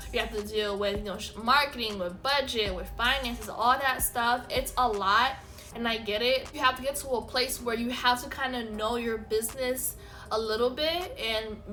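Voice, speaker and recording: Moderate pace and fairly even intonation in an American accent, with audible room echo and music in the background. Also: woman, fairly high pitch for a woman. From South Florida. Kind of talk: casual chat.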